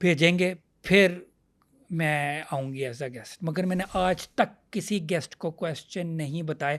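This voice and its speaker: The man's voice is high in pitch, recorded very cleanly over a silent background. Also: ordinary pitch variation. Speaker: comedian and show host. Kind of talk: interview answer.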